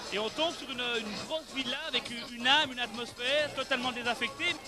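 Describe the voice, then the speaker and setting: Using a raised, projected voice at an extremely high pitch, a man talks at a fairly quick pace with music in the background. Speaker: bar and restaurant owner. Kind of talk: TV interview answer and venue tour.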